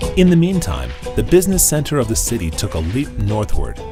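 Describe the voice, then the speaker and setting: Fairly quick pace over background music. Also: man. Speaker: voice-over artist. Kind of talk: documentary narration.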